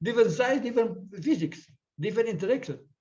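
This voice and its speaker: A man's voice with an Indonesian accent and a dark, mellow tone. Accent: Indonesian English, taken for Filipino. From eastern Indonesia, Ambon. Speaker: physics professor, keynote speaker. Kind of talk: conference lecture.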